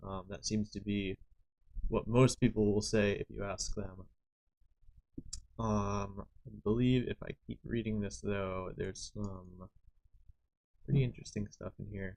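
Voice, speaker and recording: A man talks at a fairly slow pace with a fairly low pitch and fairly even intonation, broken by long, frequent pauses. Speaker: live streamer. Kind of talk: live stream, reading documents aloud with casual commentary. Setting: live stream. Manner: mumbling, skimming while reading.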